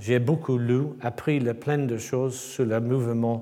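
A man with an English accent, a medium pitch, a dark, mellow tone and fairly even intonation, speaking at a very slow pace amid audible room echo. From England. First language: English (speaking French). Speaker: sculptor. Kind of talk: lecture. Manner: halting.

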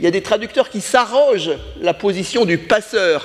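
Against noticeable background noise, a man speaks with a high pitch. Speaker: scholar of Japan. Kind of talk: round table discussion.

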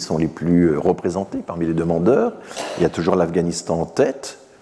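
Noticeable background noise runs under this recording of a man. He talks at a moderate pace with ordinary pitch variation. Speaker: professor. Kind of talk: lecture. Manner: halting.

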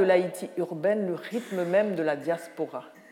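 A woman speaks at a fairly slow pace with lively intonation in a plain, everyday voice. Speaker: writer and lecturer. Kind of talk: lecture.

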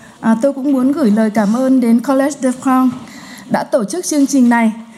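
Amid noticeable background noise and audible room echo, a woman with a high pitch speaks fairly slowly in a fairly even intonation. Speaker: sociologist. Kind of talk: conference talk. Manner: hesitant with fillers.

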